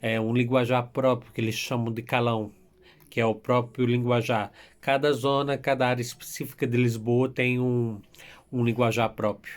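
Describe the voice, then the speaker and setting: With flat, monotone intonation, a man speaks at a medium pitch. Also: moderate pace. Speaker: YouTuber telling his immigration story. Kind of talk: casual vlog storytelling.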